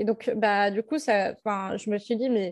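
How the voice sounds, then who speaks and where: A woman's voice with ordinary pitch variation, recorded dry and close with no echo. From Centre-Val de Loire, France. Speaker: public speaker on learning disorders. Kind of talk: interview testimony. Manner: halting, many fillers.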